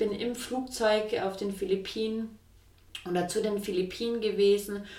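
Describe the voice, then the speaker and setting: A woman speaks at medium pitch and a moderate pace. Audible room echo and noticeable background noise are present. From Swabia, southwest Germany. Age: 20s. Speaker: entrepreneur. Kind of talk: interview. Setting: kitchen in her flat.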